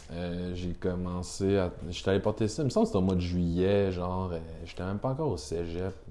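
A man's dark, mellow tone at a very deep, low pitch, fairly quick in pace, with fairly even intonation. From Quebec, Rimouski. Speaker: brand agency representative, snowboarder. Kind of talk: casual chat.

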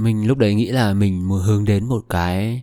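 The very clean recording has a silent background and a dry, close sound with no echo. A man with a fairly low pitch and a dark, mellow tone speaks at a moderate pace. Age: 20s. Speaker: podcast host. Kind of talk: solo podcast monologue. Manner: casual, conversational.

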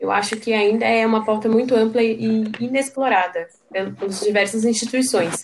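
With hardly any pauses, a woman talks in an unremarkable speaking voice, fairly high in pitch, with fairly even intonation and very even loudness. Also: moderate pace. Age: 20s. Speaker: reproductive rights activist. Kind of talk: casual chat.

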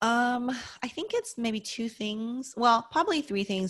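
A plain, everyday voice with an American accent moves at a moderate pace with lively intonation. The recording is very clean, the background silent. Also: woman. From US West, Las Vegas. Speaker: accountant and real estate investor. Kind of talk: interview.

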